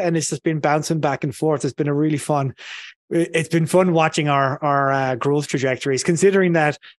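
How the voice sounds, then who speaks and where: With an Irish accent, a man speaks at a fairly quick pace in a fairly high pitch. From south of Ireland. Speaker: marketing consultant. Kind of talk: podcast interview. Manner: casual, many fillers.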